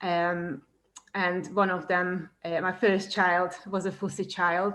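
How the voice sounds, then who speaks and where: A woman speaks very slowly in a medium pitch with a Hungarian accent. Her intonation is flat and monotone, and the recording is very clean with a silent background. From Hungary. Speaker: cooking teacher. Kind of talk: presentation. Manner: hesitant, many fillers.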